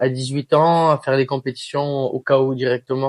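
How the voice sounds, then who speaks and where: The sound is dry and close, with no echo. A man speaks at a moderate pace and medium pitch in a flat monotone. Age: 20s. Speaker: professional MMA fighter. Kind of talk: interview. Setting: shop. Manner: hesitant, many filler sounds.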